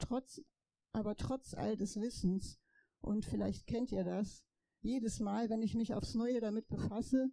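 A woman speaks in a fairly high pitch at a fairly slow pace. Her tone is dark and mellow. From Poland, raised in Germany. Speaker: daughter of Holocaust survivor, rally speaker. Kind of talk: rally speech.

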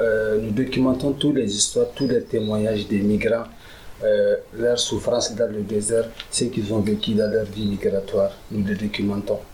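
Amid noticeable background noise, a man speaks at a moderate pace with very even loudness. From Niger. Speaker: migrant rights activist. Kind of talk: public talk with consecutive interpretation.

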